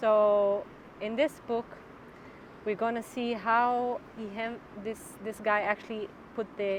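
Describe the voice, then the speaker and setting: Speaking very slowly with a non-native accent, a woman keeps a medium pitch and fairly even intonation. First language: Hebrew. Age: 30s. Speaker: yoga instructor and personal trainer. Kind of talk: casual explanatory talk. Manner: halting, translating on the fly.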